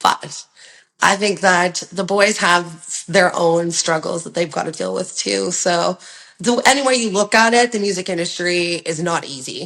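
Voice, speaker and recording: Speaking in an ordinary speaking voice with a Canadian accent, a woman talks at a fairly low pitch. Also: ordinary pitch variation, fairly slow pace. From Ontario, Canada. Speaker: rock singer and songwriter. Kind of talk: interview answer.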